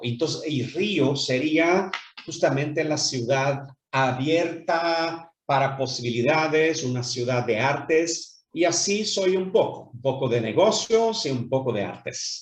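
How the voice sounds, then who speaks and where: A man's fairly high, somewhat breathy voice at a very slow pace with hardly any pauses, ordinary pitch variation and audible room echo. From Brazil, Rio de Janeiro. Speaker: businessman. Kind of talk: interview. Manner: hesitant, many fillers.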